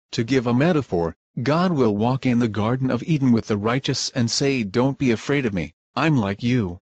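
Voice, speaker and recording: Using a put-on character voice, a man speaks at a medium pitch and a moderate pace with ordinary pitch variation. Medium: stage play. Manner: insistent.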